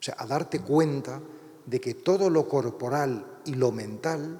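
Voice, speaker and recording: Noticeable background noise sits behind a man speaking with a fairly high pitch. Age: 60s. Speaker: priest and writer. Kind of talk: lecture. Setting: university lecture hall with audience.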